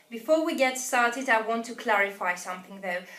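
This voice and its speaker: The speaker is a woman with a non-native accent. She talks at a medium tempo. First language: not English. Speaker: English teacher. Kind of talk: tutorial. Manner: hesitant, frequent uh fillers.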